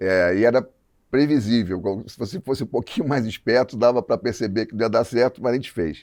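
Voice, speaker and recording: Against a quiet background, someone is speaking. The pace is moderate and the pitch variation ordinary. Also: man. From Rio de Janeiro, Brazil. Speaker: advertising creative director. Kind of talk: podcast interview.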